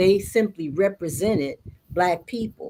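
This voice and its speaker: A woman with an unremarkable speaking voice talks at a moderate pace with lively intonation. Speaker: storyteller. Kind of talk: interview answer.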